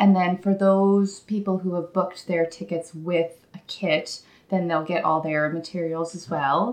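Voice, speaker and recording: Fairly low-pitched for a woman, her voice has fairly even intonation and is a plain, everyday voice. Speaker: yarn dyer. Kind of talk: casual chat.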